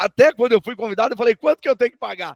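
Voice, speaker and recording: This man's voice sits at an extremely high pitch, recorded with a dry, close sound and no echo. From Paraná, Brazil (Maringá). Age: 60s. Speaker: auctioneer. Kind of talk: interview.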